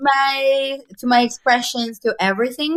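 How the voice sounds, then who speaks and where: At a fairly slow pace, a woman with a Spanish accent speaks with ordinary pitch variation. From Mexico. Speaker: graphic designer, artist. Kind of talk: casual interview conversation. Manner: halting, many repetitions.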